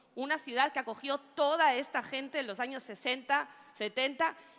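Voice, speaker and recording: Her tone is animated, with lively intonation. The woman keeps to a moderate pace. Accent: Ecuadorian. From Spain, Catalonia (Badalona). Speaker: politician. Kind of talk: political rally speech. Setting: stage with audience.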